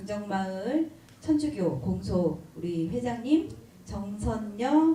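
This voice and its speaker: With very wide pitch swings, the voice moves at a very slow pace through noticeable background noise and audible room echo. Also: woman. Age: 50s. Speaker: event moderator. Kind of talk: event hosting talk.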